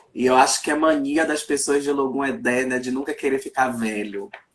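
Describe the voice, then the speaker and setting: A man speaks in a plain, everyday voice at a medium pitch. His pitch variation is ordinary. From Brazil, Salvador, Bahia. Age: 30s. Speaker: journalist, writer and Candomblé priest. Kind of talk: casual chat.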